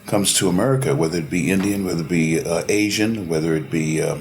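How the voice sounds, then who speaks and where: A man talks at a very fast pace in a very deep, low voice. Music plays behind him. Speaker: interview show co-host. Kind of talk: interview.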